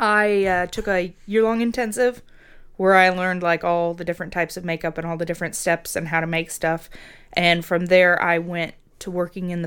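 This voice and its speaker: Over a silent background in a very clean recording, a woman with a fairly low pitch speaks at a fairly quick pace. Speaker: makeup effects artist. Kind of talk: casual chat. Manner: loud; animated.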